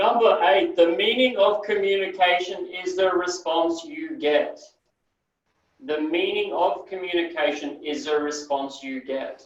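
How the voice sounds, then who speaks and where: A high-pitched man with lively intonation at a fairly slow pace, amid audible room echo. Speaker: NLP trainer. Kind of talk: training session lecture. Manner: sometimes mumbles.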